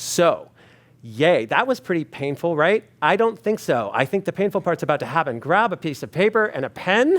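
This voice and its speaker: Animated in tone, a man's high-pitched voice leaps through very wide pitch swings. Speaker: experience designer, speaker. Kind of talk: talk to a live audience. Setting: stage with audience. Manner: fast.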